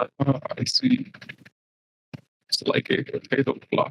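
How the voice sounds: Someone uses a robotic, put-on character voice at a fairly slow pace. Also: man.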